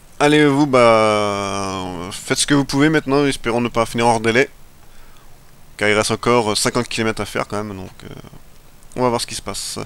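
A man speaks at a moderate pace in a medium pitch, with ordinary pitch variation, big swings in loudness, and long, frequent pauses. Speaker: gaming video creator. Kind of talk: let's play commentary. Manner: halting, stumbling over words; casual, animated.

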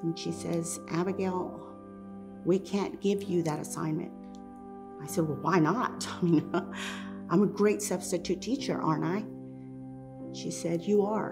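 Clear music plays in the background as a woman with an American accent speaks at a very slow pace. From Texas, USA. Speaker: storyteller. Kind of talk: personal storytelling, first-person narration. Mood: wry, humorous. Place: home room.

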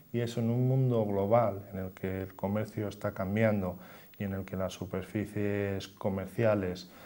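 In a dark, mellow tone and a fairly low pitch, a man speaks slowly-ish, at a fairly slow pace, with monotone, flat intonation. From Spain, Cantabria (Torrelavega); Cantabria, Spain. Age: 30s. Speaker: local politician, deputy mayor. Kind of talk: TV interview. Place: studio. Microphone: lapel.

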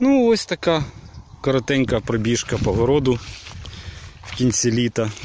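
At a moderate pace, a man talks with ordinary pitch variation and long, frequent pauses, the sound dry with no echo and light background noise behind him. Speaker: village life vlogger and gardener; village life vlogger. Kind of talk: narrated walking tour of a vegetable garden. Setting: outdoors in a garden. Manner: casual, chatty with hesitations. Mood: relaxed, wrapping up. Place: garden. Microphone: phone near.

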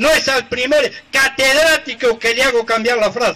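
The voice is raised and projected, with ordinary pitch variation. Light background noise can be heard. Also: man. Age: old. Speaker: folk improvising poet. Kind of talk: improvised verse duel. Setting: outdoors. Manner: measured rhymed verse. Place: stage.

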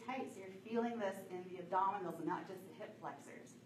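Room echo is audible as a woman talks at a moderate pace. There is light background noise. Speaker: fitness instructor. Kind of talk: workout instruction. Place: gym. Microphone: camera far.

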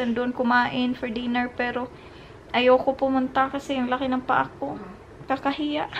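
Weary tone from a high-pitched woman at a moderate pace, light background noise. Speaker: vlogger. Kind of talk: casual vlog chat. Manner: weary, drained voice while lying down. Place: home room. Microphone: phone near.

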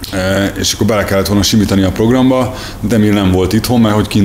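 Someone talks at a very fast pace over light background noise. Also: man. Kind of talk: interview answer. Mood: friendly, reminiscing. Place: workshop.

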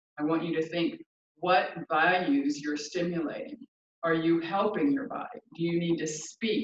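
Audible room echo and light background noise surround this woman. She speaks at a fairly slow pace with a fairly low pitch. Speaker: yoga teacher. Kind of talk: class instruction. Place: home room. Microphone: camera far.

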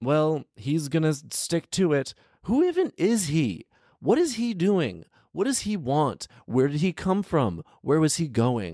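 In a very clean recording with a silent background and a dry, close sound with no echo, a man speaks at a fairly slow pace. His fairly high voice has big pitch swings and a slightly mellow tone.

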